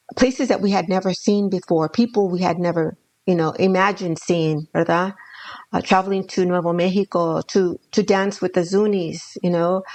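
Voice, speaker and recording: Her pitch medium, a woman speaks at a moderate pace with fairly even intonation. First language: Spanish. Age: 60s. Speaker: danza elder and grandmother. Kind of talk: casual conversation, podcast interview.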